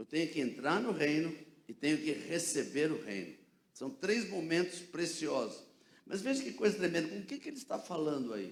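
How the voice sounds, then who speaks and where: In a room with audible echo, a man speaks at a moderate pace with a fairly high pitch, vocal fry, and very wide pitch swings. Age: 70s. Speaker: pastor. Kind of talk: sermon. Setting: church. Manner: animated.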